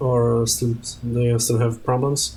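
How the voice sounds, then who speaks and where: A man with a Polish accent speaks in a somewhat breathy voice. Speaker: streamer. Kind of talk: casual gaming stream storytelling. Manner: halting, many fillers and restarts.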